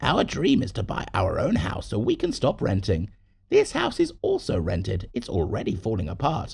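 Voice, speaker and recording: A man adopts a put-on character voice and keeps a moderate pace. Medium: read story.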